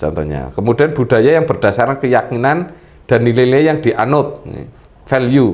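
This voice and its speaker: Medium-pitched male voice with vocal fry, lively intonation and a moderate pace. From Central Java, Purbalingga (Banyumas area). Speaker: government official, talk show resource person. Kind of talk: talk show explanation.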